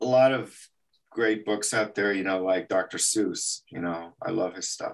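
Ordinary pitch variation marks this man's voice. He talks at a fairly slow pace. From El Paso, Texas. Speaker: animation artist. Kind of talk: interview.

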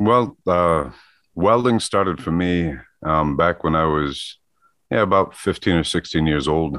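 A man with a very deep, low pitch speaks fairly slowly, using ordinary pitch variation. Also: very even loudness. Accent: Midwestern American. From US Midwest (Michigan). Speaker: metal sculptor. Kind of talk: casual interview chat.

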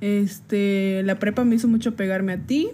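A very slow delivery with a dark, mellow tone and fairly even intonation, on a very clean recording with a silent background. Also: woman. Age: 20s. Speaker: podcast co-host. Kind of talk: casual chat.

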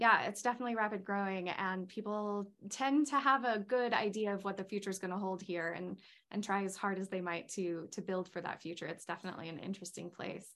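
Using a plain, everyday voice, a woman speaks at medium pitch with ordinary pitch variation. Her pace is fairly quick, with hardly any pauses. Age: 30s. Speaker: interviewer, organization president. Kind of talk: interview.

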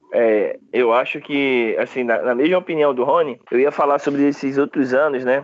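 A man with a fairly high pitch and very even loudness, in a northeastern Brazilian accent. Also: fairly even intonation, moderate pace, hardly any pauses. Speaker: football fan panelist. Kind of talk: casual chat.

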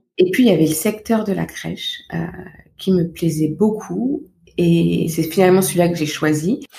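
Soft-spoken, a woman talks at a moderate pace. Her pitch is fairly low, with ordinary variation. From Paris region, France. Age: 30s. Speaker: parenting coach. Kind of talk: interview.

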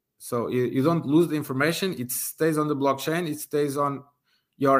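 A man speaks with a Portuguese accent and fairly even intonation. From Portugal. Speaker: university professor and aviation researcher. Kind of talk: interview. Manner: halting, many fillers.

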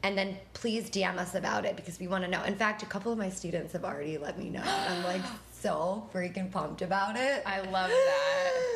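Speaking fairly quickly with hardly any pauses, a woman with an American accent and a medium pitch keeps her intonation fairly even over noticeable background noise. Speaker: podcast co-host and dance instructor. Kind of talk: casual chat.

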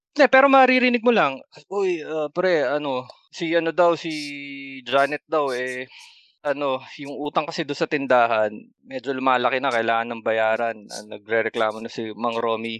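A man's unremarkable speaking voice at medium pitch and moderate pace, with ordinary pitch variation, big swings in loudness, and a dry, close sound with no echo over a quiet background. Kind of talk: casual chat.

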